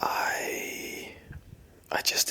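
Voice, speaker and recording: A man whispering amid noticeable background noise. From Northern Ireland. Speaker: ASMR creator. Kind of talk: ASMR Q&A answers to camera. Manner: whispered, soft-spoken.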